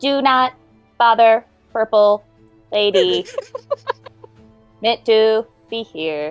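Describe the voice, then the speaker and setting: In a put-on, robotic character voice that sounds female and fairly high-pitched, the speaker goes at a very slow pace with long, frequent pauses while faint music plays behind. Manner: stilted, mechanical.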